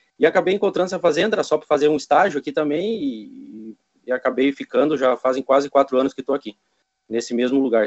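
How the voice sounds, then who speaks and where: A man's ordinary speaking voice, fairly quick, with ordinary pitch variation. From Brazil. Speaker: Brazilian emigrant farm worker. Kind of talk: casual chat.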